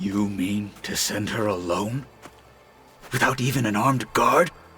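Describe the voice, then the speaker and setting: A man puts on a character voice, speaking fairly low at a moderate pace. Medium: video game. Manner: wary.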